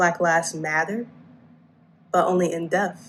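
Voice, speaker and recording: A woman's fairly low, monotone voice at a fairly slow pace. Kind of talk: spoken word poetry performance.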